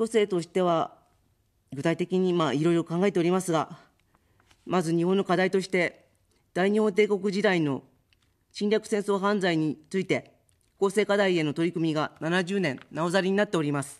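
Here a woman speaks at a medium pitch with ordinary pitch variation. The background is quiet. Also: moderate pace. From Japan, Chiba Prefecture; Japan. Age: 50s. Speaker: political candidate; candidate. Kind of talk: campaign speech. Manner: formal. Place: studio. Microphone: studio mic.

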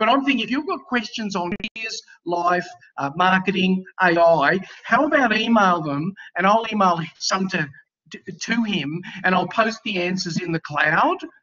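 A man with an Australian accent, high-pitched for a man, with ordinary pitch variation, a moderate pace and a quiet background. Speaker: university lecturer. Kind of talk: class moderation. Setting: video call. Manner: casual. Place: home room. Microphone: webcam.

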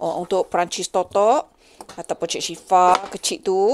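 A woman speaks fairly slowly with ordinary pitch variation while noticeable background noise fills the recording. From Negeri Sembilan, Malaysia. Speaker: cooking vlogger. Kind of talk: cooking tutorial; casual cooking vlog narration. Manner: casual, chatty. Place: kitchen. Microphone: phone near.

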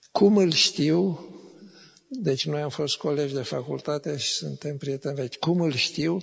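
The voice is somewhat breathy and moves at a fairly slow pace. Pitch varies in an ordinary way over a quiet background. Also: man. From Romania. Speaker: professor and literary critic; professor. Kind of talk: literary talk on stage. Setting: stage with audience. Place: hall. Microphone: handheld.

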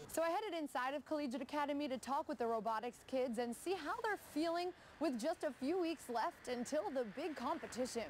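A woman talks at a fairly quick pace, high in pitch, with hardly any pauses and lively intonation. Her loudness is very even, and background noise is noticeable. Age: young. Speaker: TV news reporter and anchor. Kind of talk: TV news feature narration.

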